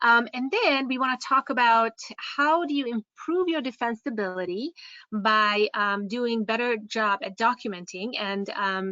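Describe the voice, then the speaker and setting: In a Hungarian accent, a woman speaks at a fairly high pitch with lively intonation. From Hungary. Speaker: care home owner and software presenter. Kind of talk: webinar presentation. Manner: halting, many fillers.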